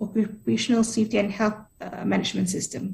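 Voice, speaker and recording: Fairly high-pitched woman's voice with vocal fry. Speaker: workshop presenter on labour law. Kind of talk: presentation. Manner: fast.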